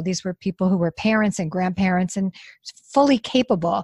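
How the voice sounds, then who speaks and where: A somewhat breathy woman with an American accent speaks at medium pitch with ordinary pitch variation, in a dry, close sound with no echo. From New York. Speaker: nonprofit founder. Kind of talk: interview.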